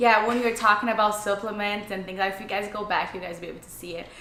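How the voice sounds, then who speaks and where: A woman talks with a non-native accent. There is noticeable background noise and audible room echo. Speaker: fitness youtuber. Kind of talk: casual interview chat.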